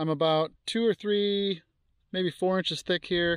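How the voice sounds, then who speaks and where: Against a quiet background, a man speaks at a moderate pace with fairly even intonation, the sound dry with no echo. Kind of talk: casual vlog chat. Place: open country. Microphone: phone near.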